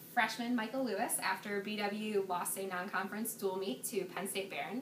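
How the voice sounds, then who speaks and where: There is audible room echo and light background noise as a woman talks at a moderate pace with ordinary pitch variation. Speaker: student sports interviewer. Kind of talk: interview questions. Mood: upbeat, smiling. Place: hall.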